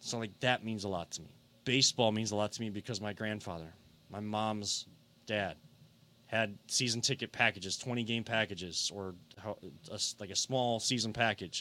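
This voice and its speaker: Heard in a very clean recording with a silent background, a man with a bright, sharp tone and fairly low pitch talks at a moderate pace with fairly even intonation. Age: 30s. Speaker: sports podcast host. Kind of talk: casual sports talk. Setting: studio.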